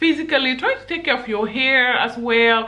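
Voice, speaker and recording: An animated woman speaks at a moderate pace with a fairly high pitch and lively intonation. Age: 20s. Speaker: YouTuber giving dating advice. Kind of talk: casual vlog monologue. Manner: animated, laughs often. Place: home room.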